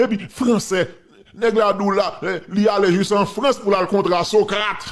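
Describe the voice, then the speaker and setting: With a Haitian accent, a man with a high pitch speaks at a fairly slow pace. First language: Haitian Creole (speaking French). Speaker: political commentator. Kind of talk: casual commentary. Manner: animated.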